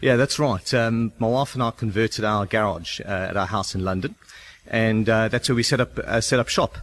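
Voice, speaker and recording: With a South African accent, a man talks at a moderate pace in a medium pitch, showing ordinary pitch variation. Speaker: start-up founder. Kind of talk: radio interview. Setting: on location at shared office.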